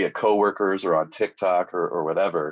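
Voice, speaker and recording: A man at a moderate pace, dry and close with no echo, over a quiet background. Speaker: cosplayer. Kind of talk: casual chat. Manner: loud; halting.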